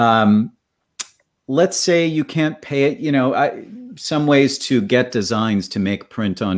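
Over a quiet background, a man talks at a very slow pace with lively intonation. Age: 40s. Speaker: podcast host, drummer; podcast host. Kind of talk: interview. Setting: video call. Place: home room.

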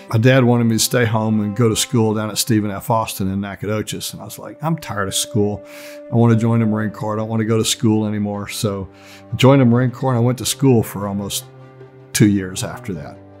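A man talks at a very fast pace with fairly even intonation, faint music playing in the background. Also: fairly low pitch for a man. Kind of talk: interview answer. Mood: reflective, lightly humorous. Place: studio.

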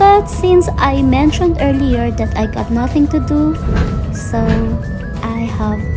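Against loud music in the background, a woman talks at a very slow pace. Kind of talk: casual vlog chat. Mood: relaxed, content. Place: train. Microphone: phone near.

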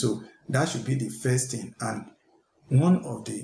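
A somewhat breathy man, with audible room echo and light background noise. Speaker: tech content creator. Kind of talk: tutorial. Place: home room. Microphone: headset.

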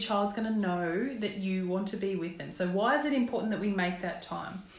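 The voice moves at a moderate pace with ordinary pitch variation, and room echo is audible. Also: woman.

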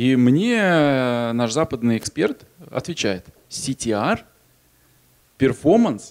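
A man with a medium-pitched voice speaks very slowly, with lively intonation and long, frequent pauses. The background is quiet. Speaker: magazine publishing executive; conference presenter. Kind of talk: conference talk. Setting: stage with audience. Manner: energetic, joking. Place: hall. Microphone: handheld.

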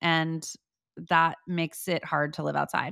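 A woman with a fairly low pitch and a bright, sharp tone speaks at a fairly slow pace, recorded with a dry sound with no echo over a quiet background. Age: 30s. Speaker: podcast host. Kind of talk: casual chat. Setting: video call. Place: kitchen. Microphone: studio mic.

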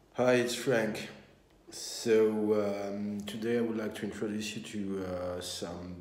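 Speaking very slowly, a man uses a fairly low pitch. Audible room echo and light background noise are present. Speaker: musician vlogger. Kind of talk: casual vlog chat. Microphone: phone near.

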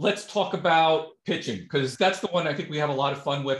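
The speech comes at a fairly quick pace with audible room echo. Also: man. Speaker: podcast interviewer. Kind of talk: interview host talk. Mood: friendly, enthusiastic. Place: home room. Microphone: video call.

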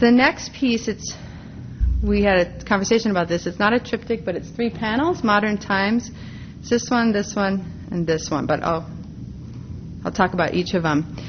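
A woman with an American accent speaks at medium pitch and a moderate pace, with ordinary pitch variation. She leaves long, frequent pauses, and there is noticeable background noise. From US Midwest, Minneapolis, Minnesota. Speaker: art historian and professor; professor. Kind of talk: lecture. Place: hall.

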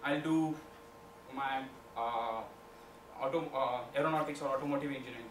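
With audible room echo and light background noise, a man talks at a fairly quick pace with ordinary pitch variation. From India, Maharashtra. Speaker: student entrepreneurship club leader. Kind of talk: presentation. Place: classroom. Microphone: camera far.

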